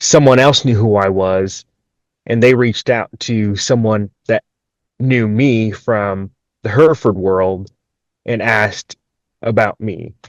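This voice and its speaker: A man speaks at a medium pitch with fairly even intonation, at a fairly slow pace with long, frequent pauses. The sound is dry and close, with no echo. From Minnesota, US Midwest. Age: 20s. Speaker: agricultural industry professional. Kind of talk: podcast interview. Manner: hesitant, many fillers and restarts.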